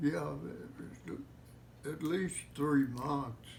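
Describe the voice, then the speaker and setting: A man with an American accent talks at a very slow pace and medium pitch. His voice makes very wide pitch swings, with audible room echo. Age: 90s. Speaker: war veteran. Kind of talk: interview. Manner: halting.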